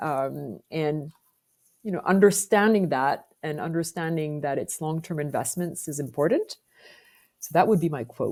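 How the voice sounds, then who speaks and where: Very deep, low female voice with a French accent, moderate pace and ordinary pitch variation. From France. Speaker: business executive. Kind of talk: podcast interview.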